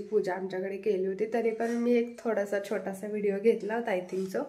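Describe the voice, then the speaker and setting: Over noticeable background noise and audible room echo, a woman talks at a fairly high pitch with fairly even intonation. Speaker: vlogger. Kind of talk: casual vlog chat. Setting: at home during a family puja.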